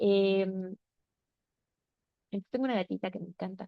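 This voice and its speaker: The speaker is a woman. Her pace is moderate. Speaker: workshop facilitator. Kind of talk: online class session.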